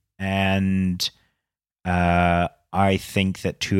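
A man's very deep, low voice with fairly even intonation, in a dry, close sound with no echo and a very clean recording with a silent background. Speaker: podcast co-host, movie reviewer. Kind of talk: casual chat, movie review.

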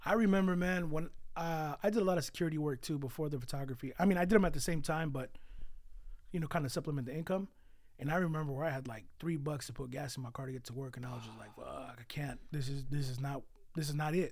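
Amid audible room echo, a man speaks at a very fast pace with a fairly high pitch, ordinary pitch variation, a somewhat breathy sound and big swings in loudness. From California, east San Jose (Mexican-born). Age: 30s. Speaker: photographer. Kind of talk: casual chat.

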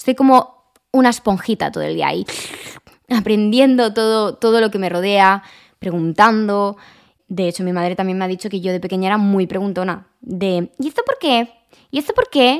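This woman has an ordinary speaking voice and keeps a moderate pace. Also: medium pitch for a woman, ordinary pitch variation. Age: 20s. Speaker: lifestyle podcaster. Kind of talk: casual monologue.

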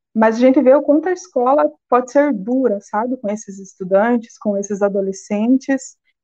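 This woman's voice is high-pitched with a dark, mellow tone, moving at a moderate pace with lively intonation and hardly any pauses. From Brazil, Paraná (Ponta Grossa). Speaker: sociology teacher and master's student. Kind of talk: live-stream interview.

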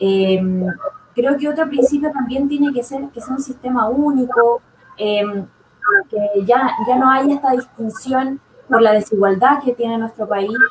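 Someone speaks at a fairly slow pace with ordinary pitch variation over noticeable background noise. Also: woman. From southern Chile. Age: 20s. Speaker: nursing student and political candidate. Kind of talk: panel discussion.

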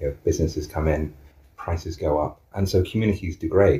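The man's tone is dark and mellow, somewhat breathy, with ordinary pitch variation. He talks at a fairly quick pace. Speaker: co-housing group member. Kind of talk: interview.

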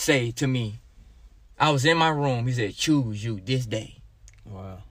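Speaking at a very slow pace with an Arkansas accent, a man uses ordinary pitch variation. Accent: Southern US (Arkansas). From Arkansas, US South. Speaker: church member giving testimony, pastor's kid. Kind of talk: testimony.

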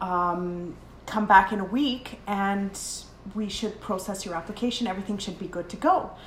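A Canadian accent at a moderate pace, with ordinary pitch variation and noticeable background noise. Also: woman, medium pitch for a woman. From Canada, Edmonton area. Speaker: podcast co-host. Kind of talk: casual chat. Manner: animated.

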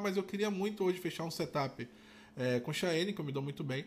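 A man speaks at a very fast pace in a high pitch with ordinary variation. The recording is very clean, with a silent background. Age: 30s. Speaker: tattoo artist, podcast host. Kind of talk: casual chat.

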